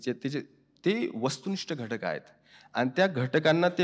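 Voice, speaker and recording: A man with an unremarkable speaking voice, fairly high in pitch, with ordinary pitch variation and a quiet background. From India, Maharashtra (Dhule region). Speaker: writer and professor. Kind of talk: interview answer.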